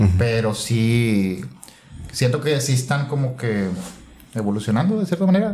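A man's somewhat breathy voice with a dark, mellow tone, lively intonation and a moderate pace, plus audible room echo. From Santiago, Nuevo León, Mexico. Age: 30s. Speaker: cooking YouTuber. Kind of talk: casual chat.

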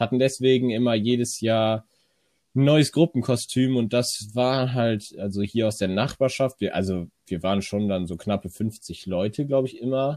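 A man's dark, mellow voice, dry and close with no echo. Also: medium pitch for a man, ordinary pitch variation, moderate pace. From Rhineland, near Cologne. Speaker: podcast co-host. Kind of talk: casual chat.

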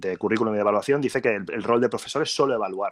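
A man talks in a plain, everyday voice at a medium pitch with ordinary pitch variation. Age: 30s. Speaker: school director of studies. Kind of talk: interview on a live stream.

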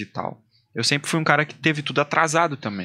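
A man speaks in a bright, sharp tone at a fairly high pitch. His intonation is lively. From Amazonas, Brazil (Maués area). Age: 30s. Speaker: singer, army doctor. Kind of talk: casual chat. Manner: animated.

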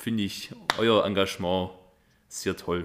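A man speaks in a fairly low voice. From Upper Swabia, Biberach district. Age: 20s. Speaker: party candidate. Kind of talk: self-introduction.

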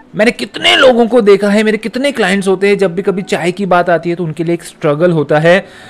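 A man's pitch varies in an ordinary way. Background music accompanies him. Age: 30s. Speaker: fitness coach. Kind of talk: motivational podcast monologue.

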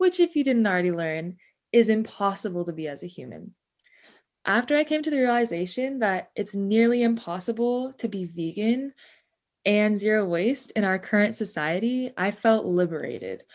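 With an American accent, a woman talks in an ordinary speaking voice at a medium pitch and moderate pace over a quiet background. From Ventura County, California. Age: 20s. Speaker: student podcast co-host. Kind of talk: partly scripted podcast chat.

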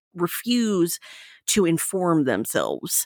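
Her fairly low-pitched voice carries a slight Southern US accent. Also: dry, close sound with no echo, very clean recording, silent background. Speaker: co-host. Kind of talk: casual chat.

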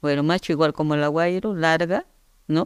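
A woman with an Andean Peruvian accent speaks with a very deep, low pitch and fairly even intonation. The sound is dry and close with no echo, in a very clean recording with a silent background. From Peru, Andes (Yungay, Ancash). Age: 60s. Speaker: agronomist. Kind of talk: interview. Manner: halting, with repetitions.

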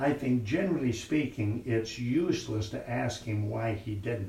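There is noticeable background noise behind this man. He speaks with an American accent, fairly slowly, at a medium pitch. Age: 70s. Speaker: preacher. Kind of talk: sermon. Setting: church.

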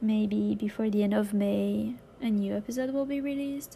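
A woman with a French accent speaks at a fairly slow pace. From France. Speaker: podcast host. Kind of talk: scripted introduction; casual interview.

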